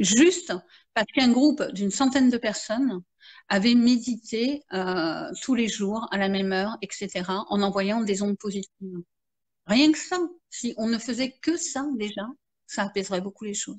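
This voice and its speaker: Speaking at a fairly slow pace, a woman uses a fairly high, somewhat breathy voice with lively intonation. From France. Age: 50s. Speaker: marketing consultant and therapist. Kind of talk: interview. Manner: halting, many fillers.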